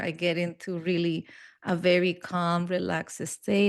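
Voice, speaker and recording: Against a quiet background, a woman with a Spanish accent talks at a fairly low pitch. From Peru, raised in Barcelona, Spain. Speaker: hypnotherapist and NLP trainer. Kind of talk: interview conversation.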